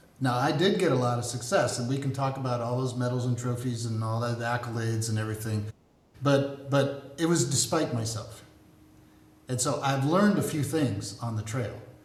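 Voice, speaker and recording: Noticeable background noise and audible room echo surround this male speaker. He talks at a moderate pace with an American accent, a medium pitch and ordinary pitch variation. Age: 70s. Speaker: army veteran and business coach. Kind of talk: podcast interview.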